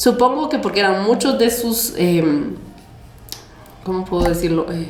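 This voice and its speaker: In a Guatemalan accent, a woman speaks at a fairly slow pace. Audible room echo and noticeable background noise surround her voice. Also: medium pitch for a woman, lively intonation. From Guatemala, Chimaltenango. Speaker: guest explaining history. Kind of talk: casual chat. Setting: cafe.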